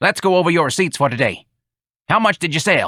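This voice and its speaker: A man does a put-on character voice, growling at a high pitch. He talks at a fairly quick pace on a very clean recording with a silent background. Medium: read story. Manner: gruff, blunt, crude.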